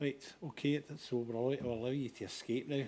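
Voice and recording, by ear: A man speaks fast at a medium pitch with fairly even intonation. His tone is dark and mellow.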